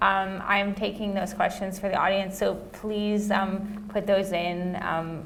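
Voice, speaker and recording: A woman's medium-pitched voice with an American accent, at a fairly slow pace, with monotone, flat intonation and audible room echo. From US West Coast. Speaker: panel moderator, researcher. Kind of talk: panel discussion.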